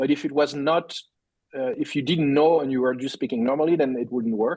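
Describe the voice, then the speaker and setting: In a strong French accent, a man speaks at a fairly quick pace. His voice is fairly high, with fairly even intonation. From France. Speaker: tech company CEO. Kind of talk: podcast interview. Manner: halting, many repetitions.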